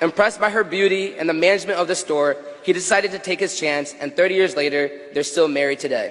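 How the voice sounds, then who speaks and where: Through noticeable background noise, a man with a high pitch talks at a very fast pace with ordinary pitch variation. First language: Tigrinya. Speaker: graduating student speaker. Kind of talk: graduation speech. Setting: stage with audience. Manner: animated.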